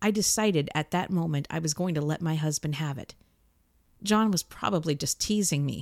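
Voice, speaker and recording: A woman has an unremarkable speaking voice, fairly low in pitch with lively intonation. The recording is very clean with a silent background. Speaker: podcast host and audio drama creator. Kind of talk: first-person mystery audio drama narration. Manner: measured, suspenseful, intimate storytelling; casual, upbeat, friendly in intro and outro.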